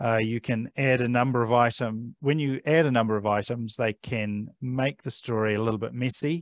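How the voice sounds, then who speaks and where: A man with a New Zealand accent at a moderate pace, with fairly even intonation and hardly any pauses, in a dry sound with no echo and a quiet background. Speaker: digital library services manager; presenter. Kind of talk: presentation; tutorial. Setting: library talk streamed on Zoom. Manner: many filler sounds (um, uh). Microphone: headset.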